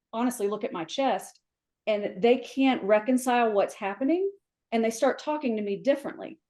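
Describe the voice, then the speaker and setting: Speaking at a moderate pace with an American accent, a woman sounds animated, her pitch varying in an ordinary way. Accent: Southern US, comes out after visiting home. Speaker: flooring industry professional, mentor. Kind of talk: podcast interview.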